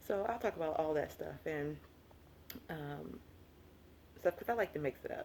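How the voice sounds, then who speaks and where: A woman is speaking here. She has a Southern US accent. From US South. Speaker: lifestyle vlogger. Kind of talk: casual vlog monologue. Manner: fast when excited; chatty, animated.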